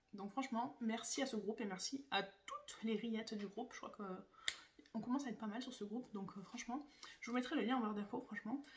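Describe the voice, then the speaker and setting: Very fast pace with fairly even intonation. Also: woman, fairly high pitch for a woman. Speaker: beauty YouTuber. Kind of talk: casual vlog talk.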